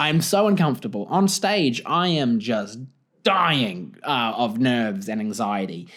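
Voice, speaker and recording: With a New Zealand accent, a man speaks in very wide pitch swings on a very clean recording with a silent background. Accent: New Zealand (Kiwi) accent, says it's weird. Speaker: comedian and podcast host. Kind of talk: solo comedy podcast monologue. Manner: animated, expressive; rising intonation at ends.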